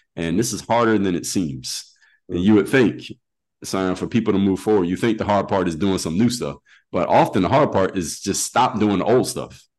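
Lively intonation marks a man's fairly low voice, an ordinary speaking voice at a moderate pace. The background is quiet. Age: 40s. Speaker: former pro athlete turned coach and speaker. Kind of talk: interview.

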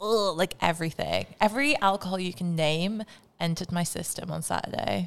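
A woman with an unremarkable speaking voice talks at a fairly low pitch. Her pace is fairly quick, with ordinary pitch variation. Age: 20s. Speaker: podcast co-host and model. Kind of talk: casual chat.

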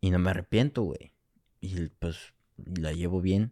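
Speaking at a fairly slow pace, a man uses a very deep, low pitch and a dark, mellow tone. The recording is very clean with a silent background and a dry, close sound with no echo. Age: 20s. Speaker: film student. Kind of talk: casual chat.

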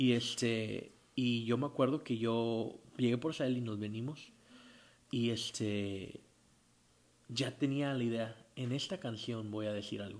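The man's pitch is medium and his intonation fairly even. He speaks very slowly. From Tijuana, Baja California, Mexico. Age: 30s. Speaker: rock band singer. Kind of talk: casual interview.

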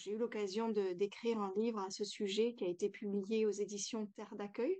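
Against a quiet background, a woman with a dark, mellow tone speaks at a medium pitch with fairly even intonation. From France. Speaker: yoga teacher and author. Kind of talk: interview.

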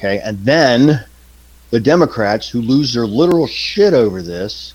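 Here a man talks in a normal speaking voice. His pitch is medium, with lively intonation. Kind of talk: casual banter with swearing.

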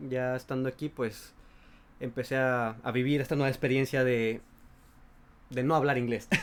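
Speaking at a moderate pace with long, frequent pauses, a man uses a medium pitch and monotone, flat intonation. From Mexico, La Paz, Baja California Sur. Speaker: podcast co-host. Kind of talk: casual chat.

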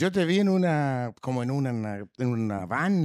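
On a very clean recording with a silent background, a man with a Chilean accent speaks at a fairly slow pace and medium pitch, his pitch swinging very widely. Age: 60s. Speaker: podcast co-host. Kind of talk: casual chat.

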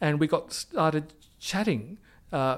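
A man in an Australian accent, fairly high in pitch with very wide pitch swings, on a very clean recording with a silent background. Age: 60s. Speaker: arts manager and PhD candidate. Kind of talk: interview. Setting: office. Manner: halting, many fillers.

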